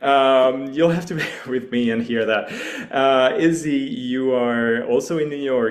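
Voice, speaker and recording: Male speech in a French accent, medium in pitch with ordinary pitch variation, amid audible room echo. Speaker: hackathon organizer. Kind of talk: online launch call presentation.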